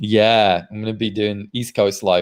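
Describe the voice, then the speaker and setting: Moderate pace in a Mancunian accent. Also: man. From northern England, Manchester. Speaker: podcaster. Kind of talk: interview.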